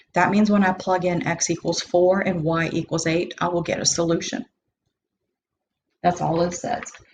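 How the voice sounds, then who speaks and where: A woman with a fairly low, somewhat breathy voice speaks at a moderate pace. Her intonation is fairly even, broken by long, frequent pauses. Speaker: math teacher. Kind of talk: lecture. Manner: casual.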